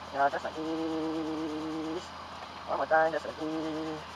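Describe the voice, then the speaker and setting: A man speaks at a very slow pace, with long, frequent pauses. Noticeable background noise is present. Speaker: motovlogger. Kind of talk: tutorial.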